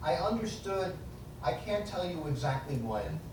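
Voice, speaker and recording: An American-accented man at a fairly slow pace, very wide pitch swings, audible room echo and noticeable background noise. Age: 60s. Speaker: author and foundation director. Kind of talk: public lecture.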